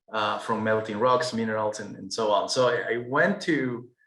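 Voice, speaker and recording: A male voice at medium pitch, bright and sharp in tone, with a Peruvian accent and a moderate pace. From Peru, Andes. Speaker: architect. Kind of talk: webinar presentation. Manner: hesitant, frequent repetitions.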